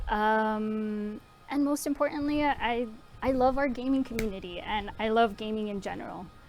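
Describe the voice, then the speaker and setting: With music in the background, a fairly high-pitched woman speaks at a moderate pace and ordinary pitch variation. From US South (Tennessee) and Miami; born in Honduras. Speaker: contract analyst, stream co-host. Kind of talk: casual livestream chat.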